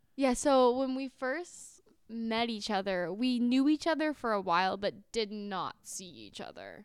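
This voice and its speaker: A woman with an American accent speaks at a fairly slow pace in a normal speaking voice, her fairly high pitch carried by lively intonation and big swings in loudness, with hardly any pauses, on a very clean recording with a silent background. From California suburbs. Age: 20s. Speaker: podcast co-host. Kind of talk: casual chat.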